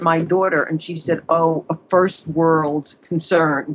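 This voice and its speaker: A woman with a slight New York accent speaks very slowly in a fairly low pitch, her intonation monotone and flat. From US Northeast, Long Island, New York. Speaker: psychologist, relationship expert. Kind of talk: advice interview.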